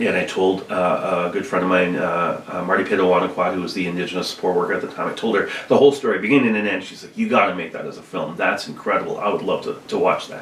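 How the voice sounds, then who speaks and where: Speaking at a very fast pace with hardly any pauses, a man swings widely in loudness over noticeable background noise. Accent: Canadian. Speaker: high school art teacher and filmmaker. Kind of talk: casual chat. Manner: soft-spoken.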